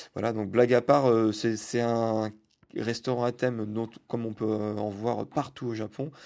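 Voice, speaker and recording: A man speaks at a fairly slow pace and medium pitch, in a monotone, flat way with long, frequent pauses. The recording is very clean with a silent background. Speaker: podcast host. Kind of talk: travel diary monologue. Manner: halting, many fillers.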